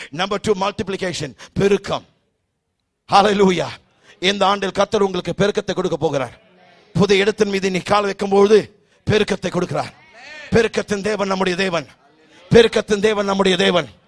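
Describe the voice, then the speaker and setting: Man with an animated tone and high pitch, in a quiet background. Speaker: preacher. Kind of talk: sermon. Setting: church. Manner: animated, loud, exhorting the congregation with call-and-response; Tamil sermon with frequent English phrases mixed in. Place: church. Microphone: handheld.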